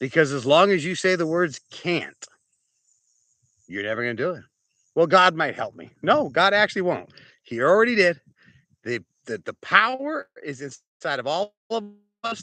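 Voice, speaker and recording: A man speaks at a moderate pace in a high pitch with very wide pitch swings, big shifts in loudness, and long, frequent pauses. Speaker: archbishop and preacher. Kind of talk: sermon. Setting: outdoors on a farm. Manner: repetitive, stumbling.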